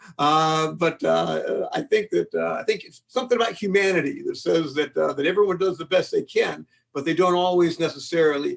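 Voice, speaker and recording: A man with an American accent talks at a fairly quick pace with hardly any pauses. His loudness swings widely. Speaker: law professor and mediation expert. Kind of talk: webinar lecture. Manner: fast.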